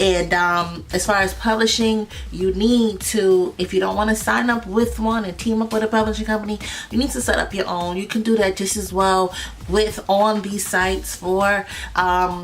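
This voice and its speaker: The intonation stays fairly even against noticeable background noise. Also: woman, medium pitch for a woman. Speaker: music business teacher. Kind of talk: tutorial. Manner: fast; hesitant, many fillers.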